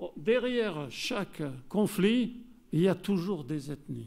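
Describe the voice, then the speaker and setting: With lively intonation, a man speaks in a southern French accent. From southern France. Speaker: geographer and researcher. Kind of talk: conference lecture. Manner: hesitant, many fillers.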